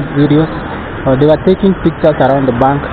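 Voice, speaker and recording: A man talking at a very fast pace, with a dry sound free of echo and noticeable background noise. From Kenya. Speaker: YouTube vlogger. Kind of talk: walking vlog narration. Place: street. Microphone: phone near.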